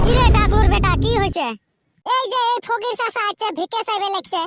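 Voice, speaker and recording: Delivered at a moderate pace, the voice is that of a cartoonish character. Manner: impatient and brusque.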